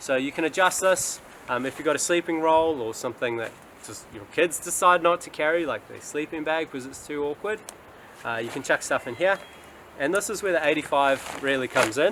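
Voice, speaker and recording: This man has a New Zealand accent and a fairly high pitch. He talks at a fairly quick pace. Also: ordinary pitch variation. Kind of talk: casual talk to camera. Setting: outdoors.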